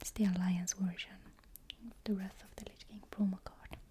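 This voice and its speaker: Soft-spoken delivery at a fairly slow pace. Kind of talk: ASMR unboxing, soft-spoken talk to camera.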